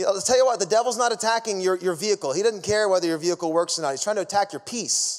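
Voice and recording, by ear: Here someone is reading aloud in a natural voice.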